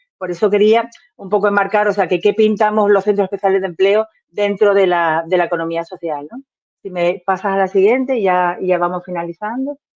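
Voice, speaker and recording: The fairly quick, fairly even-toned speech has a dry, close sound with no echo. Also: woman, medium pitch for a woman. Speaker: representative of a social enterprise association. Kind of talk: presentation at an online workshop. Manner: fast.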